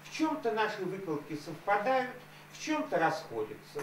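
A man's lively intonation with light background noise and audible room echo. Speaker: activist. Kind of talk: speech at public hearing. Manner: formal. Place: meeting room.

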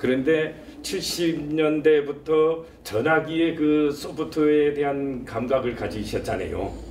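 Very slowly, a man speaks with a fairly high pitch and fairly even intonation. Light background noise and audible room echo are present. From South Korea. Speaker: talk show host, professor. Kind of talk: interview. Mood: polite, warm. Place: office.

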